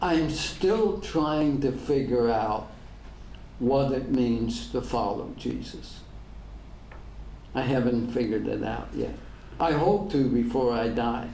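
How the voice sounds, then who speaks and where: A man with an American accent speaks at a very slow pace with long, frequent pauses and audible room echo. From Northern Ireland. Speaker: pastor. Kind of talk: public talk with Q&A.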